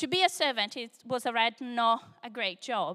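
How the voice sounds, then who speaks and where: A woman's raised, projected voice in a Brazilian accent, bright and sharp in tone, with lively intonation. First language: Portuguese. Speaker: preacher. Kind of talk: sermon. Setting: church service, live audience.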